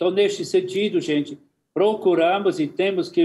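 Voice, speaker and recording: His pitch is high for a man, and this man keeps his intonation fairly even. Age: 80s. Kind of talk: impassioned talk on a TV discussion program. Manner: passionate.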